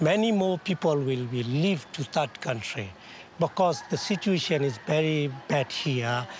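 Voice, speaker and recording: A man's fairly high, somewhat breathy voice at a fairly slow pace, with lively intonation. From Burma, Rakhine State. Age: 60s. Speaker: Rohingya community elder. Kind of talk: interview.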